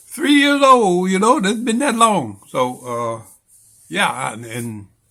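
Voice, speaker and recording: At a very slow pace, a man projects a raised voice with a bright, sharp tone, pitched high and swinging very widely in pitch. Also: long, frequent pauses. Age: 70s. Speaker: vlogger sharing health experience. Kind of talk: casual monologue to camera. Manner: halting, with many fillers.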